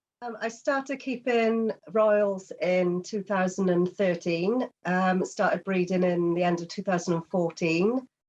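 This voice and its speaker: With a British accent, a woman talks at a fairly slow pace with hardly any pauses. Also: medium pitch for a woman, ordinary pitch variation. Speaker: reptile breeder. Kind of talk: casual chat.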